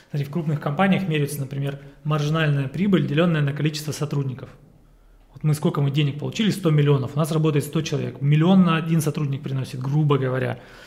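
Words come at a very fast pace from a man with a fairly high pitch. His intonation is fairly even. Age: 30s. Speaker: business consultant. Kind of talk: casual chat.

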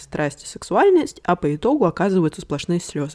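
In a very clean recording with a silent background, a woman's fairly low voice carries a dark, mellow tone, dry and close with no echo. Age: young. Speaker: psychologist and family therapist. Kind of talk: solo podcast monologue. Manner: improvised, conversational.

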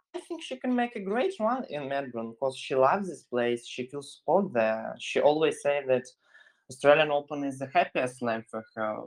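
A man with a Russian accent, fairly high in pitch, lively in intonation, at a moderate pace. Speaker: sports journalist, podcast co-host. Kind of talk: podcast chat.

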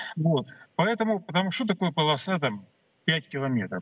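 Speaking at a moderate pace, a man moves through very wide pitch swings. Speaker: military expert. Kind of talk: live interview on TV. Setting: remote video link. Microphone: connection problems.

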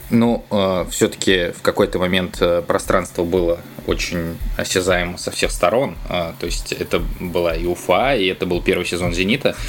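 A man talking at a moderate pace over noticeable background noise. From Saint Petersburg, Russia. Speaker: football journalist. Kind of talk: casual chat.

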